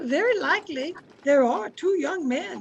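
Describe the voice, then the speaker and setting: A woman puts on a character voice at a moderate pace, pitched high with very wide swings in pitch. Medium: audio drama. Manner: warm, homely.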